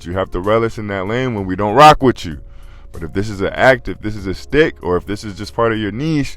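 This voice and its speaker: Over music in the background, a man with a fairly low voice talks very fast with lively intonation and big swings in loudness. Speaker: podcast commentator. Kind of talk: casual commentary monologue.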